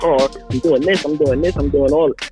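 A man speaks at a fairly quick pace with clear music in the background. The sound is dry with no echo. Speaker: rapper / independent music artist, caller on a radio show. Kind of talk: casual talk to radio host, caller conversation. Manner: casual, conversational, energetic. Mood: earnest and explanatory. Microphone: video call.

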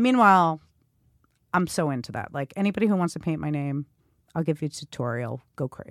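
In a New York accent, a woman with a very deep, low pitch speaks very fast, with very wide pitch swings and long, frequent pauses, in a dry, close sound with no echo on a very clean recording with a silent background. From Queens, New York City. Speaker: graffiti artist and stylist. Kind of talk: casual chat.

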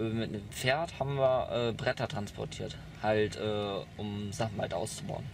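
Over noticeable background noise, a man speaks at a fairly slow pace with ordinary pitch variation. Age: 20s. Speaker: young man recounting youth welfare care; interviewee. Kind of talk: interview testimony. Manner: halting. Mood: calm, matter-of-fact. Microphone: camera far.

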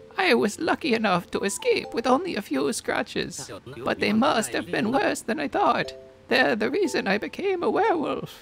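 A put-on character voice at a fairly high pitch and moderate pace, with clear music in the background. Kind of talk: storytelling.

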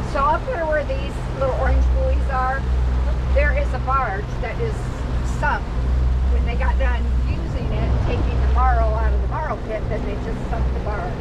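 A moderate pace broken by long, frequent pauses, over loud background noise. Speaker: local guide on the boat. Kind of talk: casual storytelling tour. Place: boat. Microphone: phone near.

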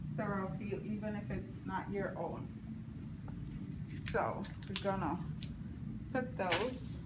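There is loud background noise as a woman speaks. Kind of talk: tutorial. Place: classroom. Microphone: phone near.

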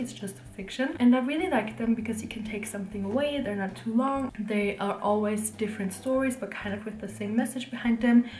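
Amid light background noise and audible room echo, a woman talks at a fairly quick pace. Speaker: book vlogger. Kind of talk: casual vlog with book recommendations. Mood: warm, enthusiastic. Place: home room. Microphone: camera far.

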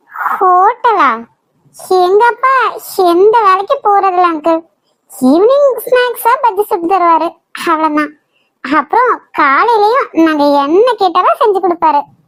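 A woman performs a cartoonish character voice at an extremely high pitch. Her intonation is lively, her loudness very even and her pace fairly slow. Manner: bold, outspoken.

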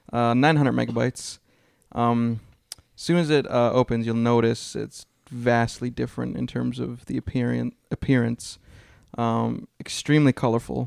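The sound is dry and close with no echo as a man talks at a moderate pace. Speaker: video game podcast co-host. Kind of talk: casual chat.

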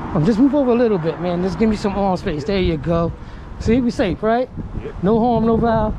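A woman speaks at a fairly quick pace with ordinary pitch variation. The sound is dry with no echo, and there is noticeable background noise. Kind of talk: confrontational questioning. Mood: stern, probing. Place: street. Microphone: phone near.

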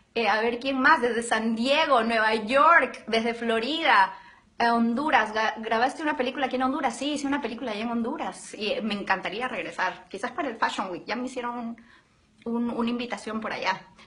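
Over noticeable background noise, a woman with a high pitch speaks at a moderate pace in an animated, warm tone, with ordinary pitch variation. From Arequipa, southern Peru. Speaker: actress in a telenovela. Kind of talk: casual live social-media chat with fans. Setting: live video stream from the studio. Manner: animated, warm, enthusiastic.

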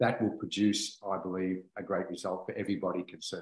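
The background is quiet, though room echo is audible. A man speaks at a moderate pace. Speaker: essential oils presenter. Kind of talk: explanatory talk. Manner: enthusiastic, earnest. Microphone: video call.

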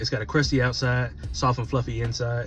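The speech comes at a very fast pace, with clear music in the background. The sound is dry, with no echo. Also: man. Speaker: food reviewer. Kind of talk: casual food review vlog. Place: car. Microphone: phone near.

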